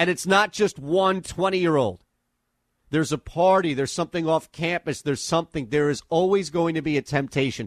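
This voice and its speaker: Against a quiet background, a man with an ordinary speaking voice and fairly high pitch talks at a fairly quick pace, with very even loudness and a dry, close sound with no echo. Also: ordinary pitch variation. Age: 40s. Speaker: sports radio host. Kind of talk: sports talk radio. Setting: studio.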